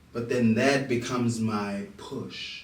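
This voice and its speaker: Noticeable background noise and audible room echo accompany the man talking. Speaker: musician. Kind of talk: interview.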